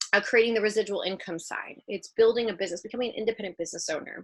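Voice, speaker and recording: A woman talks in a fairly high voice with a bright, sharp tone. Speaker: women's trading group leader. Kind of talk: group video call presentation. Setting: video call. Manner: slight stutter today; casual, chatty.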